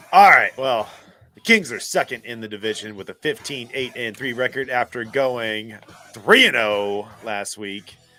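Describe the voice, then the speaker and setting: Over music in the background, a man at medium pitch talks at a moderate pace, with ordinary pitch variation and big swings in loudness. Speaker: hockey podcast host. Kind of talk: casual chat.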